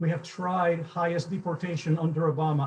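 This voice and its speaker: Speaking at a moderate pace, a man with a Cuban accent has a fairly high pitch. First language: Spanish. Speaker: event moderator, business advocate. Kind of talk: moderated panel introduction.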